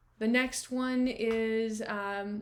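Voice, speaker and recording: Her pitch is fairly high, and her intonation fairly even. Audible room echo surrounds this woman's voice. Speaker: real estate agent. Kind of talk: screen-share walkthrough of property comparables. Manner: casual, many fillers.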